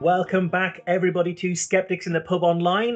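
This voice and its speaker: A man with a British accent talks at a fairly quick pace in a high pitch. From UK. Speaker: talk series host. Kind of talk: interview. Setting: live online talk.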